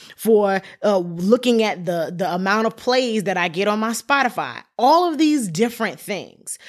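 A woman with a medium pitch speaks at a moderate pace with lively intonation, an animated tone and hardly any pauses, on a very clean recording with a silent background. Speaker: podcast host and gospel singer. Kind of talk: solo podcast talk, motivational. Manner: animated, preachy fussing.

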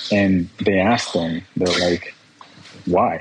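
Speaking at a fairly slow pace, a man talks in a Spanish accent. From Guerrero, Mexico; raised in Escondido, California from age six. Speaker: personal injury lawyer. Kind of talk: interview testimony. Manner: halting, repeats words.

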